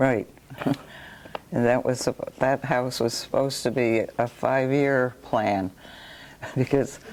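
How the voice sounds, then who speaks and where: A woman's very deep, low voice with an American accent, fairly even intonation and noticeable background noise. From New York. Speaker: local resident sharing memories. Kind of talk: oral history chat. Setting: library talk with audience.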